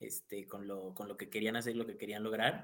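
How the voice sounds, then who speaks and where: His pitch sits at medium for a man. He speaks with monotone, flat intonation. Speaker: university student life director. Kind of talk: casual chat.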